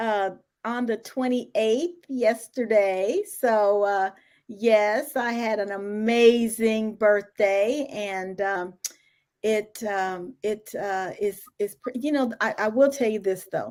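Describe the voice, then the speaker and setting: At a very slow pace, a woman speaks with fairly high pitch and ordinary pitch variation. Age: 60s. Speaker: entrepreneur and HR consultant. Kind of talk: podcast interview.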